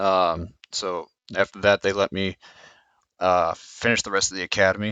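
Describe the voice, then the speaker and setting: Speaking at a moderate pace, a man uses a very deep, low pitch and a monotone, flat intonation. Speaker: police officer. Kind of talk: casual talk to camera. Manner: stuttering, hesitant.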